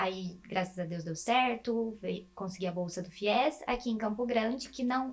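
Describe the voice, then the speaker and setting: Noticeable background noise fills the clip. Through it, a woman talks at a moderate pace with ordinary pitch variation. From interior of São Paulo state, Brazil (Presidente Prudente). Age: 20s. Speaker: medical student. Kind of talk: interview.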